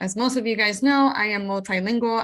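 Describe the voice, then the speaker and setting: In a Spanish accent, a woman with a fairly high pitch speaks with fairly even intonation and a bright, sharp tone. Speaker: podcast host, paralegal. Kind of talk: podcast intro.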